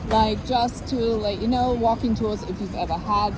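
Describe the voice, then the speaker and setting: Moderately paced female speech amid noticeable background noise and audible room echo. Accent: non-native. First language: not English. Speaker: exercise specialist. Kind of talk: casual chat with fitness tips. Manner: casual, filler-heavy.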